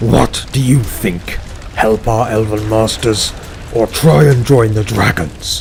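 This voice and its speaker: A man's put-on character voice at medium pitch and a fairly slow pace, with clear background noise. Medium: read story.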